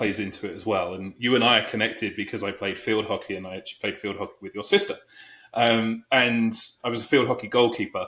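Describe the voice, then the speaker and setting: In a British accent, the speaker races at a very fast pace with a bright, sharp tone and monotone, flat intonation, loudness swinging widely in a very clean recording with a silent background. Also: man, medium pitch for a man. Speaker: HR executive. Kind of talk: interview.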